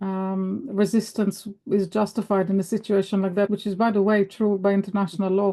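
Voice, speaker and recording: A woman with a dark, mellow tone talks at a fairly quick pace and medium pitch. The background is quiet. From Israel. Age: 60s. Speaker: book club discussion participant. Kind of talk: casual discussion. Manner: animated; halting.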